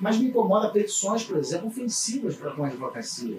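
This man's pitch is high and his intonation lively. He talks at a fairly quick pace over noticeable background noise. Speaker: criminal law attorney and law professor. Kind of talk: casual chat. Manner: halting, many repeated words.

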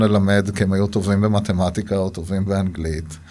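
A man talks at a moderate pace. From Israel, Gaza border kibbutz. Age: 40s. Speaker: avocado farmer. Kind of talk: interview. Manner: halting.

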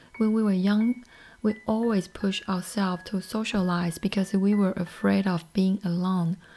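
A woman with a Chinese accent speaks at a medium pitch in a flat monotone. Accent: Mandarin-accented English. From Taiwan. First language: Mandarin. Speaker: podcast host. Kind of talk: solo podcast talk.

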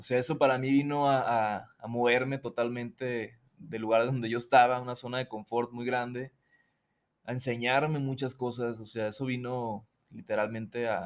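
With a monotone, flat intonation, the man's delivery keeps a moderate pace. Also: medium pitch for a man. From Mazatlán, Sinaloa, Mexico. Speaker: musician. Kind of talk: casual interview chat.

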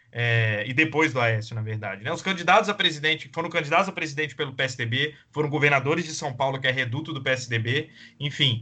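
A man with an unremarkable speaking voice talks at a fairly quick pace and fairly high pitch, with ordinary pitch variation, big swings in loudness and hardly any pauses. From Espírito Santo, Brazil. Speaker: podcast co-host. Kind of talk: casual political discussion.

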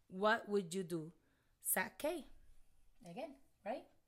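A woman speaks with a Puerto Rican accent. Her intonation is lively. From Puerto Rico. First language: Spanish. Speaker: comedian. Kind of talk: casual chat. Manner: excitable.

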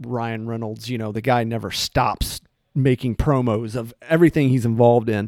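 A man speaks in a normal speaking voice at a medium pitch and a moderate pace, with fairly even intonation. The sound is dry and close with no echo, on a very clean recording with a silent background. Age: 40s. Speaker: podcast co-host. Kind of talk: casual chat.

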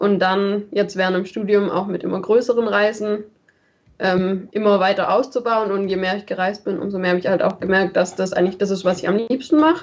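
A woman talks at a fairly quick pace in a medium pitch. She has an ordinary speaking voice. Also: fairly even intonation. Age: 20s. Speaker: travel blogger, student. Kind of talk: casual chat.

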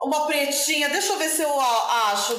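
There is audible room echo as a woman speaks. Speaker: streamer. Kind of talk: casual chat.

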